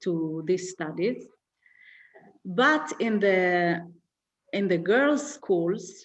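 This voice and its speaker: With an Israeli accent, a woman speaks at a very slow pace, her medium-pitched voice lively in intonation and broken by long, frequent pauses. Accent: Hebrew-accented English. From Israel, Haredi community. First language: Hebrew. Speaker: activist. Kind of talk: interview. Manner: halting, many fillers.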